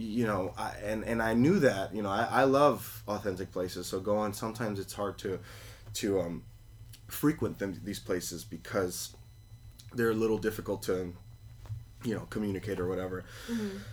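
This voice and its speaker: Using vocal fry, a man with a fairly low pitch and ordinary pitch variation speaks with long, frequent pauses. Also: moderate pace. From New York City (Queens), Colombian immigrant parents. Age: 20s. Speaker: cafe owner. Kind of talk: interview. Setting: tiny house, in person. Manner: many fillers and restarts.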